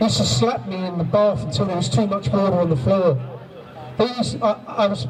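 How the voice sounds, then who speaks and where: Amid noticeable background noise and audible room echo, a man with a high pitch speaks at a very fast pace with very wide pitch swings. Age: 60s. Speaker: abuse survivor speaking at a rally. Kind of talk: testimony.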